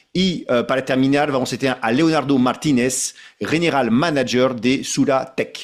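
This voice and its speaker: A man with a French accent, at a fairly slow pace, with ordinary pitch variation. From France. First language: French (speaking Spanish). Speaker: association president, webinar moderator. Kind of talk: webinar moderation. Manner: halting, with fillers and repetitions.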